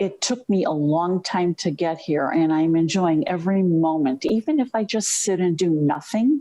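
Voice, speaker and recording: Loudness stays very even as a woman with a plain, everyday voice and fairly low pitch speaks at a moderate pace with lively intonation. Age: 60s. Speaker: webinar participant. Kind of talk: personal sharing.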